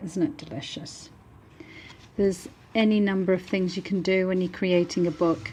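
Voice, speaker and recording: A woman's somewhat breathy voice has a dark, mellow tone and ordinary pitch variation, moving at a moderate pace with long, frequent pauses. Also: medium pitch for a woman. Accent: British. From northern England, Manchester. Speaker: book artist. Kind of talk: product showcase. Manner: animated.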